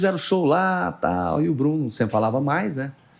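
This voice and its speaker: A man with a fairly high pitch speaks at a moderate pace against a quiet background, his pitch making very wide swings. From Brazil, Goiás (Morrinhos). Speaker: TV journalist and news anchor. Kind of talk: casual podcast interview, storytelling. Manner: animated.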